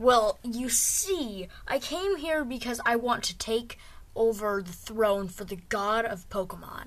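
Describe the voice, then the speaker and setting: Over light background noise, a woman puts on a character voice. She keeps it fairly high-pitched and fairly slow. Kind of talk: comic overacting. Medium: comedy sketch. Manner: pompous, menacing.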